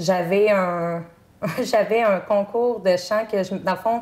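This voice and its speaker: Very slow female speech at a medium pitch, its intonation fairly even. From Quebec, Chaudière-Appalaches (Bellechasse). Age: 30s. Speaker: singing contestant. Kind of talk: interview. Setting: TV studio. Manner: halting, many fillers.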